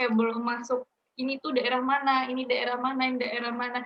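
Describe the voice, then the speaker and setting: High female voice with a slight Balinese accent, fairly even intonation and a fairly quick pace. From Bali and Banyuwangi, East Java. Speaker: university student. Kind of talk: interview. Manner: casual, with many fillers.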